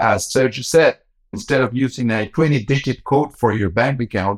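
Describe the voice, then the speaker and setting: At a moderate pace, a man speaks at medium pitch with ordinary pitch variation in an unremarkable speaking voice, the sound dry and close with no echo. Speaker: bank executive. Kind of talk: interview.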